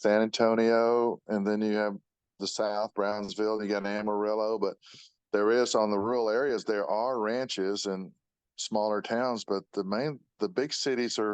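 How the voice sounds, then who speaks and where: A man with a Texan accent, fairly low pitch, monotone flat intonation and a moderate pace, in a dry, close sound with no echo. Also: quiet background. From Austin, Texas. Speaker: auto body shop owner. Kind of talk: interview.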